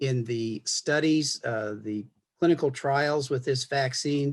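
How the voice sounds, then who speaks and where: Recorded very cleanly against a silent background, a man speaks at a medium pitch with ordinary pitch variation. His voice is somewhat breathy and his pace fairly slow. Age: 70s. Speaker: retired family physician. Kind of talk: health information interview. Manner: repeats words, halting.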